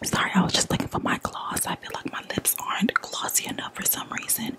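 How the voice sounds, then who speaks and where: A woman whispers. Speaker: ASMR creator. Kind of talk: asmr whisper, close-mic, soft and hushed while showing perfume bottles. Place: home room. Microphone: studio mic.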